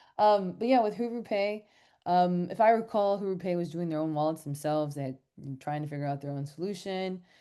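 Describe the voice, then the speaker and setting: Against a quiet background, a speaker with an American accent talks fairly quickly in a dark, mellow tone with ordinary pitch variation. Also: woman, fairly low pitch for a woman. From United States. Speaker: fintech startup executive. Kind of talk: online panel interview.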